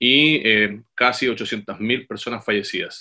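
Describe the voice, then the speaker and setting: The speaker is a man with a bright, sharp tone. The background is quiet. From Chile. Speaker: corporate occupational health and safety manager. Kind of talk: webinar presentation. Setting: video call. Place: home room. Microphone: webcam.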